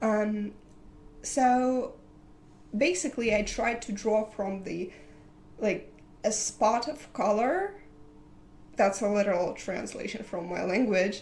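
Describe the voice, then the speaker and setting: A woman with a non-native accent and a fairly high pitch speaks at a very slow pace with long, frequent pauses and ordinary pitch variation, in audible room echo. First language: not English. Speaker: digital artist. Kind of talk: casual vlog talk. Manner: halting, many fillers.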